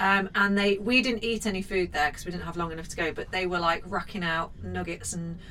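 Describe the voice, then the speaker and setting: The voice carries vocal fry over fairly even intonation. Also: woman. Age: 30s. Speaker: podcast host. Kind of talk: casual chat.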